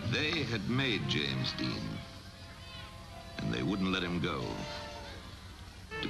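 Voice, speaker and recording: A resonant man's voice, very deep and low in pitch, with very wide pitch swings and a fairly slow pace, over music in the background. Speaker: narrator. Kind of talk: documentary narration. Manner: authoritative.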